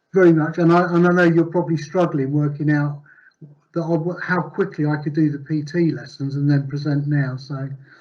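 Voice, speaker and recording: A man talks at a fairly quick pace in a flat, monotone way. His pitch is fairly high, and room echo can be heard. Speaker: conference presenter. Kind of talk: conference presentation. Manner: fast.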